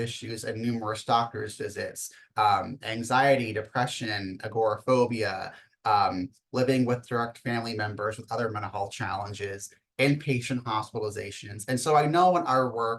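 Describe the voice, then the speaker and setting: Somewhat breathy and medium in pitch, a man talks at a moderate pace with fairly even intonation. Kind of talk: webinar presentation.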